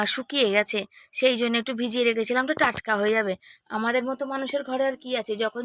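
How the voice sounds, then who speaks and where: The speech has fairly even intonation and a dry, close sound with no echo. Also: woman. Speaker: vlogger and homemaker. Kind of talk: casual vlog narration. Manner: loud.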